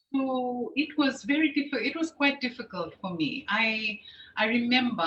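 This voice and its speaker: A woman at a moderate pace with very wide pitch swings, over noticeable background noise. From Fiji, with early childhood in the UK. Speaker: program host. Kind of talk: interview.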